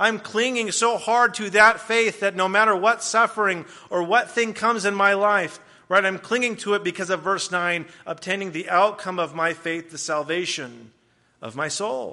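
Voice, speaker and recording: A man with an American accent, high in pitch, with a bright, sharp tone and a raised, projected voice, ordinary pitch variation and a moderate pace. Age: 20s. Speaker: guest preacher. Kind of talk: sermon. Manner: hesitant, many fillers.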